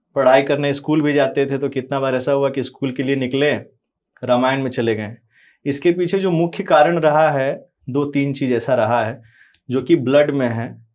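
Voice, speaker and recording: It is a normal speaking voice with fairly even intonation. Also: man, fairly high pitch for a man. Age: young. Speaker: religious preacher. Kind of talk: interview.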